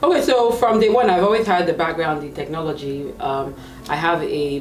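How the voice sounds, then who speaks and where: A woman talks at a fairly quick pace in a Nigerian accent. Audible room echo and noticeable background noise fill the recording. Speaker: tech career coach. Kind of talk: interview.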